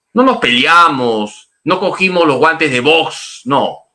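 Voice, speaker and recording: Very wide pitch swings mark a man's voice, which has a bright, sharp tone. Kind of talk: catechism class.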